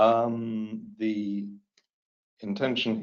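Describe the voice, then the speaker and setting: A man with a British accent at medium pitch. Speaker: materials testing specialist. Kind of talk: webinar presentation. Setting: webinar. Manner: hesitant, many fillers.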